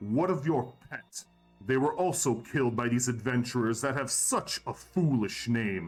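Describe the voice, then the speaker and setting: Faint music plays behind a man doing a put-on character voice at medium pitch and a moderate pace. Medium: actual play. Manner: cold, menacing.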